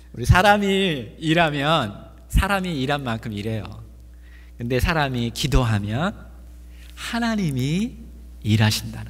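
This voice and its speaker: Somewhat breathy, a man at medium pitch speaks very slowly with long, frequent pauses, as room echo is audible. His pitch swings very widely and his loudness shifts a lot. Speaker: pastor. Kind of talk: sermon.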